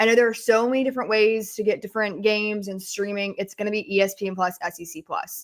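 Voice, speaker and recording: Against a silent background on a very clean recording, a woman speaks very fast at medium pitch with fairly even intonation. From Atlanta, Georgia. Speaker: sports podcast host. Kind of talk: casual chat.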